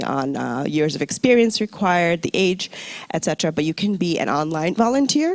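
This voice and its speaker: A woman speaks at a very fast pace with a fairly low pitch and lively intonation. The sound is dry and close with no echo, and there is noticeable background noise. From US, New York. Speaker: UN recruitment officer. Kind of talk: presentation to audience. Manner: conversational, engaging.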